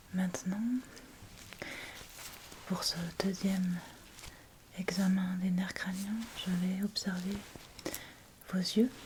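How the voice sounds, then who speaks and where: A soft-spoken woman talks very slowly at a medium pitch, with long, frequent pauses and a monotone, flat intonation. Her tone is gentle, and background noise is noticeable. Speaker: ASMR creator playing a doctor. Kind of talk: ASMR medical roleplay, addressing the listener as a patient. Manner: soft-spoken, gentle, slow; whispered, soft.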